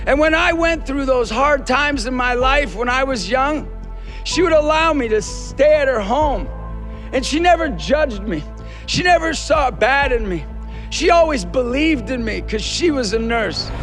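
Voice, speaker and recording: A man with an American accent, passionate in tone, at a moderate pace over background music. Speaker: motivational speaker. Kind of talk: commencement speech to graduating nurses. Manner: earnest, encouraging, passionate.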